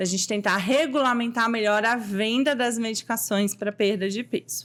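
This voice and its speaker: At a moderate pace, a woman with a normal speaking voice talks at a fairly high pitch with ordinary pitch variation. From Goiás, Brazil (Anápolis). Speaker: endocrinologist. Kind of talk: interview.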